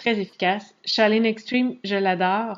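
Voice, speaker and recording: With a Quebec accent, a woman speaks at a very slow pace in a medium pitch, her intonation fairly even. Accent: Québécois French. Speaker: fitness coach. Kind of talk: screen-share tutorial. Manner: casual, hesitant with fillers.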